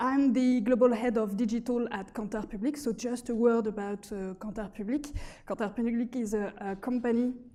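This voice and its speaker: A fairly high-pitched woman's voice in a French accent, dark and mellow in tone, fairly quick, with fairly even intonation. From France. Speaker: market research executive. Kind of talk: conference presentation. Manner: hesitant.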